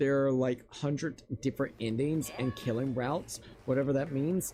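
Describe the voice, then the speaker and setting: Music sits in the background while a man speaks at a moderate pace and medium pitch, with very even loudness and fairly even intonation. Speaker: gaming livestreamer. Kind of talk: casual let's-play commentary. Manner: halting, stammering.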